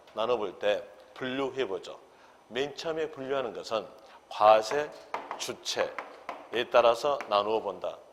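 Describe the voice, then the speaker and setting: A man speaks at a very slow pace with long, frequent pauses. Noticeable background noise runs underneath. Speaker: real estate tax law instructor. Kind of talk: lecture.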